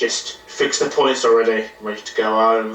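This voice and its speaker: Putting on a shaky character voice at medium pitch, a man talks at a moderate pace. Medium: read story. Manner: shaky, defensive.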